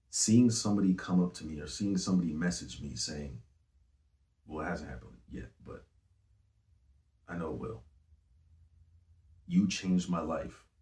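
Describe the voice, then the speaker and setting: With a dark, mellow tone that is somewhat breathy, this voice moves at a moderate pace with lively intonation, big swings in loudness, and long, frequent pauses. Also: man, very deep, low pitch for a man. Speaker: singer and rapper. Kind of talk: interview. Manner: casual.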